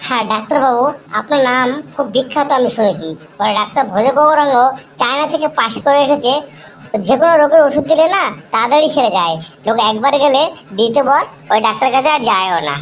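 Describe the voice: A cartoonish character voice moves along at a fairly quick pace. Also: female-sounding voice, high pitch for a woman.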